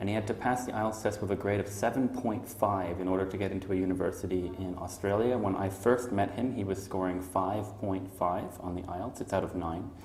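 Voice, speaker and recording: A man with a Canadian accent, fairly low pitch, fairly even intonation and a fairly quick pace, amid noticeable background noise and audible room echo. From Montreal, Canada. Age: 30s. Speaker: English teacher. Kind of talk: job interview. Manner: hesitant, many fillers.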